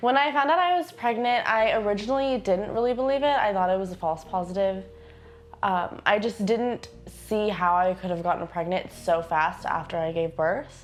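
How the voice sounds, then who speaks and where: A woman with an American accent and an unremarkable speaking voice talks at a moderate pace, medium in pitch and lively in intonation. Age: young. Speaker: young abortion storyteller. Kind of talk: testimony.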